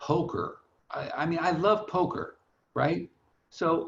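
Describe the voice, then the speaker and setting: Vocal fry colors a man's voice as he speaks with an American accent. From Long Beach, California. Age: 60s. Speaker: financial planner. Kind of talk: webinar interview. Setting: online webinar. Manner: casual, halting with repetitions.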